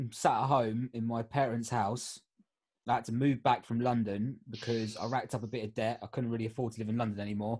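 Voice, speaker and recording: Very fast, monotone speech from a man with an English accent, flat in intonation. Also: medium pitch for a man. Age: 30s. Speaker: life coach. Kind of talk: casual chat.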